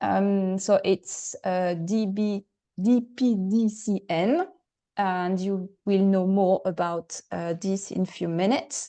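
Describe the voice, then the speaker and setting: A woman with a French accent speaks at a very slow pace in a dark, mellow tone. Her intonation is fairly even, and the background is quiet. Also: medium pitch for a woman. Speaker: webinar moderator. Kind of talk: webinar introduction. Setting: online webinar. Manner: halting, many fillers.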